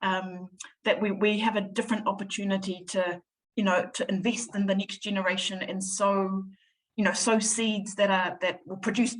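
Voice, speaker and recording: A somewhat breathy woman speaks at a moderate pace and medium pitch, her intonation monotone and flat. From New Zealand, Samoan family. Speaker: charity chief executive. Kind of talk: interview. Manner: stammering repetitions.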